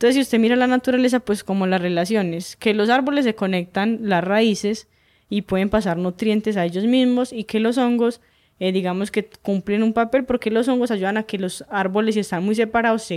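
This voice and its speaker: Speaking at a fairly quick pace, a woman uses a normal speaking voice, fairly high in pitch with ordinary variation. The recording is very clean, the background silent. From Colombia, southeastern Antioquia (Urrao, Betulia). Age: 20s. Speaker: hiking guide. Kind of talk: casual interview conversation.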